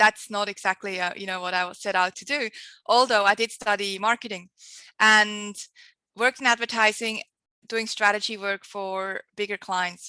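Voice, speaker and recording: A woman's medium-pitched voice in a strong Swiss accent, bright and sharp in tone, at a moderate pace with fairly even intonation and big swings in loudness, dry and close with no echo against a quiet background. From Switzerland. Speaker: marketing agency founder, entrepreneur. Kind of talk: podcast interview.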